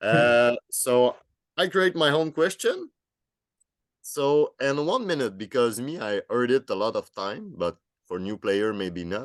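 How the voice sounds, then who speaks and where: A man in a Quebec accent at a medium pitch, very wide pitch swings, a fairly slow pace and a dry, close sound with no echo. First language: French. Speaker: podcast host. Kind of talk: podcast interview.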